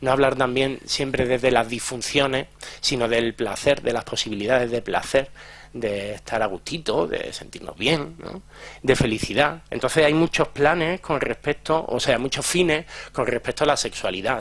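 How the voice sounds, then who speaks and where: This man has a medium pitch and ordinary pitch variation. He speaks at a moderate pace. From Andalusia, Jaén and Granada. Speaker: psychologist and sex educator. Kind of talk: conference talk. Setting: lecture hall with audience. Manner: clipped, drops word endings.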